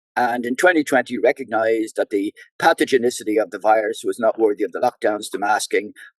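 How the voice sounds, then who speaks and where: A fairly quick man with a Dublin accent, in a dry, close sound with no echo. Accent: Dublin Irish. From Ireland, Dublin (Drimnagh). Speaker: doctor and election candidate. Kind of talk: political interview.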